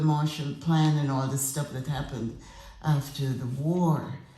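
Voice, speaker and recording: A woman talks amid noticeable background noise, her voice carrying audible room echo. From Grenada. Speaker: retired politician and educator. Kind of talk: tribute speech.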